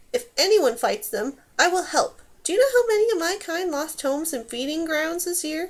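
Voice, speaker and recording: Using a put-on character voice, a woman speaks at a moderate pace. It is squeaky and extremely high in pitch. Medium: read story. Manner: brisk, scolding.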